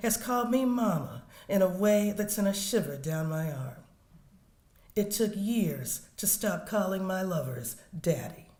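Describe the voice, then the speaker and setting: A woman with an American accent, medium-pitched and somewhat breathy, with a dark, mellow tone, lively intonation, a fairly slow pace and audible room echo. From US South. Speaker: poet. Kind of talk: poetry reading.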